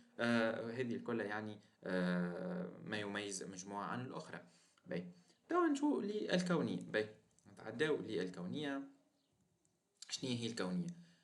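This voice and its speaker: In a room with audible echo, a man with a Tunisian accent and a fairly low pitch speaks at a fairly slow pace with lively intonation and long, frequent pauses. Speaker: teacher. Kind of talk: lecture. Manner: halting, with fillers and repeated words.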